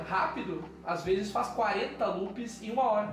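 A man with a southern Brazilian accent talks with lively intonation over noticeable background noise and audible room echo. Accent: gaúcho Brazilian Portuguese. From southern Brazil, Pelotas. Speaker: actor and voice actor. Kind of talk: podcast interview.

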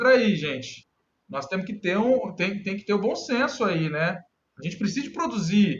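This man has a high-pitched voice. He talks at a moderate pace with lively intonation. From Brazil, Minas Gerais. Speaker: cartographic engineer in municipal government. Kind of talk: casual interview.

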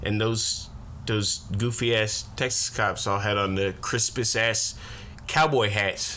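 The man's voice sits at a medium pitch with very even loudness. He speaks at a very slow pace. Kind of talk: casual banter, profane. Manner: animated, profane, rant-like.

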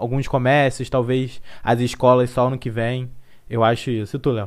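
On a very clean recording with a silent background, a man speaks at a medium pitch and a moderate pace. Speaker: podcast host. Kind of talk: casual chat. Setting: live-streamed video podcast. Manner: changes voice for podcasting.

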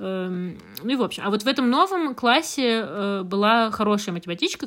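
A woman's unremarkable speaking voice at a fairly slow pace, with ordinary pitch variation. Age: 20s. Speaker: podcast co-host. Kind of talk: casual chat.

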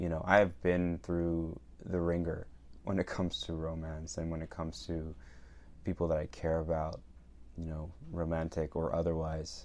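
A man talks in a very deep, low voice with flat, monotone intonation. His pace is moderate, broken by long, frequent pauses. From Venezuela. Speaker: actor and writer. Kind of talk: casual chat.

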